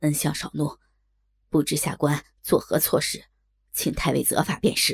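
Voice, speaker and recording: A shaky, put-on character voice at a low-to-middle pitch moves at a moderate pace with long, frequent pauses. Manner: fearful, placating.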